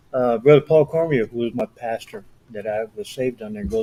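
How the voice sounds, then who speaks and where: Speaking at a very fast pace, a man with a medium pitch and a dark, mellow tone uses ordinary pitch variation. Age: 70s. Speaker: missionary. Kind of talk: interview.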